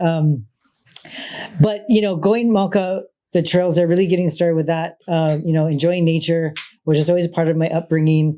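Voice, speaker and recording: A man with a Hawaiian accent speaks loudly in a high voice. His pace is fairly quick and his intonation fairly even. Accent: Hawaii English. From Hawaii, Oahu (Waikiki). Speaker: state trails program manager. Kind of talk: panel talk. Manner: halting, many fillers.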